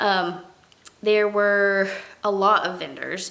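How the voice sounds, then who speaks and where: Very slow female speech with audible room echo and noticeable background noise. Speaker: crochet vlogger and craft market seller. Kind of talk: casual vlog recap. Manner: casual, many fillers and restarts.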